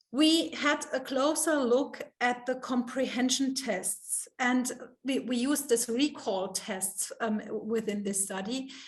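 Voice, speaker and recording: At a very slow pace, a woman with a high pitch speaks with ordinary pitch variation amid audible room echo. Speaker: professor. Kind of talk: Q&A after lecture. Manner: halting, many fillers.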